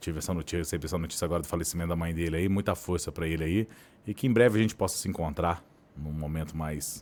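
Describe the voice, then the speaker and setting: A man talks very fast in a very deep, low voice with fairly even intonation. The recording is very clean, with a silent background. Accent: Minas Gerais. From southern Minas Gerais, Brazil (Varginha). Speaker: journalist and agency founder. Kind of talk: podcast interview.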